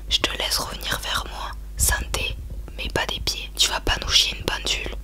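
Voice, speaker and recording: Noticeable background noise accompanies a woman talking fairly slowly. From France. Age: 20s. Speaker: ASMR YouTuber. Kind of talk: casual talk to camera, ASMR beer tasting. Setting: home, quiet room with room noise. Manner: playful, joking, informal.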